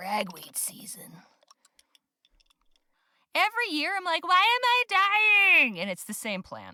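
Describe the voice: Putting on a character voice, a woman speaks extremely high, raspy and hoarse, at a fairly slow pace with long, frequent pauses and big swings in loudness.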